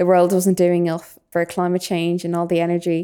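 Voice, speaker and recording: In a Dublin accent, a woman speaks at medium pitch with a dark, mellow tone on a very clean recording with a silent background. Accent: Dublin Irish. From Ireland, Dublin. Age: young (19). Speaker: youth volunteer podcaster. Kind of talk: casual discussion.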